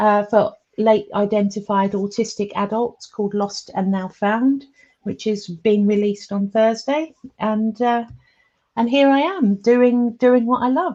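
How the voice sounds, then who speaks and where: With an English accent, a woman speaks at a fairly slow pace in a dark, mellow tone with ordinary pitch variation. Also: fairly high pitch for a woman. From England. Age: 50s. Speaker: comedian and public speaker. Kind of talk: interview. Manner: hesitant, many fillers.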